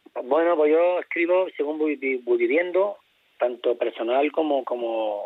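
A man speaking at a fairly slow pace. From Spain, Castilla-La Mancha (Toledo). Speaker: flamenco singer. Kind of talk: radio interview. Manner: halting.

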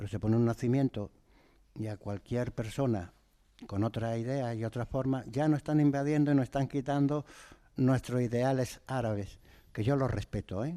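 A man speaks at a moderate pace and medium pitch against a quiet background. His tone is dark and mellow, with ordinary pitch variation. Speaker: nativity scene artisan. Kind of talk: radio interview.

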